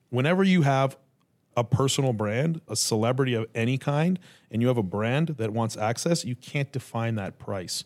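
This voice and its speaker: On a very clean recording with a silent background, a man with an unremarkable speaking voice talks at medium pitch and a moderate pace with lively intonation. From Canada. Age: 50s. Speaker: podcast host. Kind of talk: interview.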